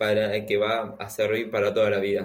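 A man with an ordinary speaking voice talks at a moderate pace, his intonation fairly even. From Argentina. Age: 20s. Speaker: software developer. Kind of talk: interview.

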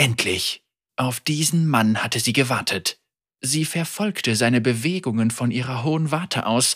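With a quiet background, the speaker reads aloud in a natural voice.

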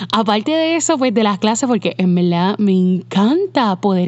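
Medium in pitch, a woman talks at a moderate pace. Hers is an unremarkable speaking voice. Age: 30s. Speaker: podcast host, web designer. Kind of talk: casual monologue. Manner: conversational, code-switching with English fillers.

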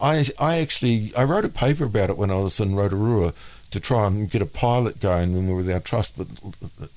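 Speaking with a New Zealand accent, a man has a fairly low pitch. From New Zealand (Auckland). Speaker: minister and author. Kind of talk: interview. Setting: studio.

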